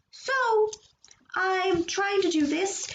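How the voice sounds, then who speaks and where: The voice moves at a fairly slow pace. Audible room echo fills the recording. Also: woman. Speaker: streamer and artist. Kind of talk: casual chat during live drawing stream. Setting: live stream with a laptop and camera.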